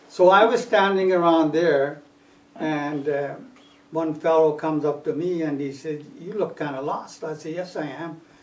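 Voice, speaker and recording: Through audible room echo, a man with a fairly high voice speaks at a moderate pace, his pitch varying normally while his loudness swings a lot. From Punjab, India. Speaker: immigrant oral history interviewee. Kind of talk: oral history interview. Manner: halting.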